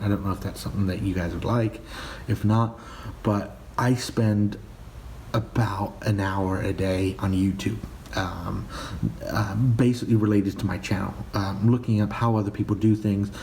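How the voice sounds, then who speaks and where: A man's fairly low-pitched voice at a moderate pace, fairly even intonation, over noticeable background noise. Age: 20s. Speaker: personal finance vlogger. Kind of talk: casual vlog monologue. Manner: hesitant, many fillers and repeats.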